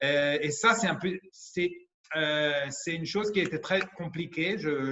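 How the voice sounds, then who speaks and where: Someone with an Italian accent speaks at a fairly slow pace with ordinary pitch variation. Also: man. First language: Italian (speaking French). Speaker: pediatrician. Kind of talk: conference talk. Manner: halting, many hesitations.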